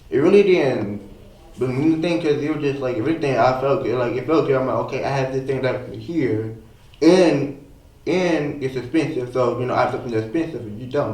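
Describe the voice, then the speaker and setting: A very fast man's voice at medium pitch, with ordinary pitch variation and noticeable background noise. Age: young. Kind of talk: interview answer.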